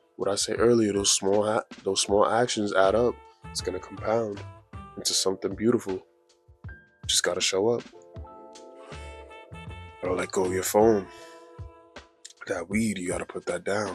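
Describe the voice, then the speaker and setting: A man with a fairly low pitch speaks at a moderate pace in a flat monotone, with long, frequent pauses and music in the background. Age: 20s. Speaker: motivational YouTuber. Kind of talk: casual motivational talk to camera. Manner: casual, conversational.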